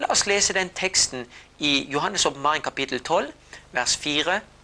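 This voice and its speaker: The voice has a bright, sharp tone and very wide pitch swings. It moves at a fairly slow pace. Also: man. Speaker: lecturer on Bible prophecy. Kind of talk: lecture. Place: studio.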